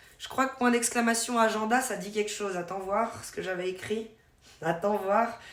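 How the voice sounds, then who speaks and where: Noticeable background noise and audible room echo surround a woman with a slight Vaud accent and a fairly high pitch. She talks at a moderate pace with fairly even intonation and big swings in loudness. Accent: slight Swiss French (Vaud). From Switzerland, canton of Vaud. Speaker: streamer. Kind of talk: casual live-stream chat. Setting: live stream.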